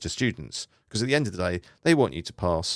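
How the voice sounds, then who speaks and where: A man with a British accent, lively intonation and a fairly quick pace, on a very clean recording with a silent background and a dry, close sound with no echo. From UK. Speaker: private pilot. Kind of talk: podcast talk on flight training.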